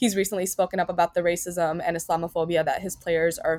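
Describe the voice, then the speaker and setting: Speaking at a fairly quick pace, the voice is an unremarkable speaking voice. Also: woman. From New York City, Queens. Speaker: food blogger. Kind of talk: interview. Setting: remote recording.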